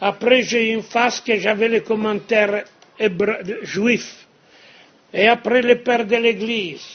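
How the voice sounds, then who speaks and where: A man with a non-native accent speaks at a high pitch. His pace is very slow, and his intonation is fairly even. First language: Italian (speaking French). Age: 70s. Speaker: monastic prior and speaker. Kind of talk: lecture. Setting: cathedral with audience.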